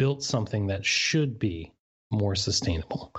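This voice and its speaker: Over a quiet background, a man with an American accent speaks at a fairly low pitch in a somewhat breathy voice. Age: 30s. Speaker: baseball blogger. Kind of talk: casual podcast interview.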